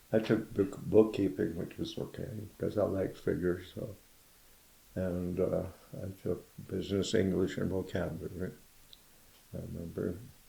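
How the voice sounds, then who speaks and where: A man with an American accent, very deep and low in pitch, somewhat breathy with a dark, mellow tone, fairly even intonation and long, frequent pauses. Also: moderate pace. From County Kerry, Ireland. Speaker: Korean War veteran. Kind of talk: oral history interview answer. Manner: casual, reminiscing.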